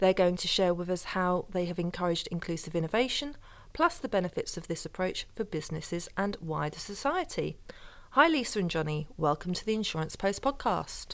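Lively intonation marks a woman's ordinary speaking voice at a medium pitch and a fairly quick pace. The recording is very clean with a silent background. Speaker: podcast host and editor. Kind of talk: interview, moderated discussion.

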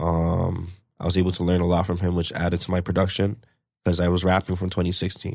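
A man talks very fast with a Toronto accent, his pitch very deep and low and his intonation flat and monotone. The recording is very clean, with a silent background. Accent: Toronto-area Canadian English. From Canada, Brampton, Ontario. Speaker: rapper. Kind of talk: casual interview.

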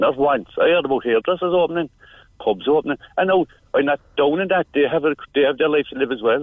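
In a Cork accent, a man speaks at a fairly quick pace. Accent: Cork Irish. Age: 50s. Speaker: parent carer. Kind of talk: radio phone-in. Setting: phone call. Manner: halting.

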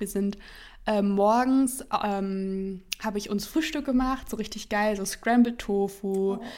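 On a very clean recording with a silent background, a woman speaks with a fairly high pitch. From near Hannover, Germany. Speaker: podcast co-host. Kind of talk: casual chat. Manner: hesitant, many fillers.

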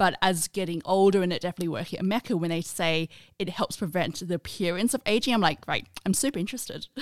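Speaking very fast with an Australian accent, a woman uses a medium pitch with ordinary variation, in a dry, close sound with no echo. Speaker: podcast co-host, content head. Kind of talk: casual chat.

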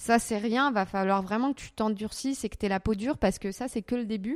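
The speech moves at a moderate pace with ordinary pitch variation. The recording is very clean with a silent background, and the sound is dry and close with no echo. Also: woman. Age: 30s. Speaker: YouTuber. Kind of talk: interview. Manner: hesitant.

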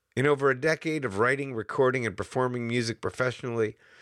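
Captured in a very clean recording with a silent background and a dry, close sound without echo, a man with an American accent uses an unremarkable speaking voice at a moderate pace with ordinary pitch variation. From US Northeast. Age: 50s. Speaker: podcast host. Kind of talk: scripted narration; casual chat.

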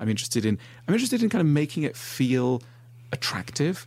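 Here a man talks at a very fast pace. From Switzerland. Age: 40s. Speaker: author. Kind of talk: casual chat.

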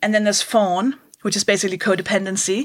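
A woman is speaking. She has a Danish accent. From Denmark. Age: 30s. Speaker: stand-up comedian. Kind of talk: casual interview. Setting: at home.

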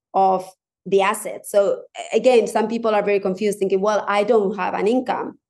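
A woman with a Spanish accent talks at a moderate pace and medium pitch. Her tone is dark and mellow, and her pitch varies an ordinary amount. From Spanish-speaking country. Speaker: divorce coach. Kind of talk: casual chat.

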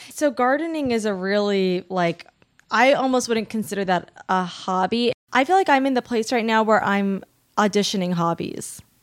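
Lively intonation marks a woman's unremarkable speaking voice, fairly high in pitch and at a moderate pace, in a very clean recording with a silent background. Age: 30s. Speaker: writer and performer. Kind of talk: casual chat.

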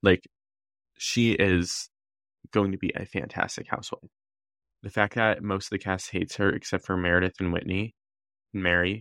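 A man's very deep, low voice, flat and monotone, with long, frequent pauses, a dry, close sound with no echo, and a very clean recording with a silent background. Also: moderate pace. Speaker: podcast co-host. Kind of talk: casual chat recapping reality TV.

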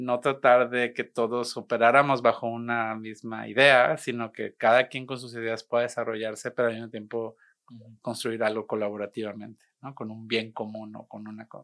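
At a moderate pace and with hardly any pauses, the speaker uses monotone, flat intonation while loudness swings a lot, over a quiet background. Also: man, medium pitch for a man. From Monterrey, Mexico. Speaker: artist and arts educator. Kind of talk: casual interview. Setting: studio.

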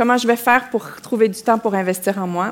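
A woman speaks with a Quebec accent. Her pitch varies in an ordinary way. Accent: Québécois. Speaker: women's leadership coach. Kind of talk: live panel talk. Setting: theatre stage with audience.

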